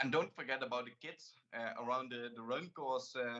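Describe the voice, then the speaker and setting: A man speaks at medium pitch with a Limburg accent. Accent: Dutch (Limburg) accent in English. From Netherlands, Limburg. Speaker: talk show host. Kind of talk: interview. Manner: halting.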